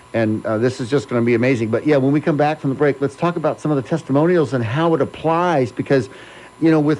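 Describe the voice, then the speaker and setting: A man talks in a fairly high pitch with ordinary pitch variation. Noticeable background noise runs under his voice. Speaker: radio talk show host. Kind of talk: radio interview hosting. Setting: radio studio. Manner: upbeat, enthusiastic.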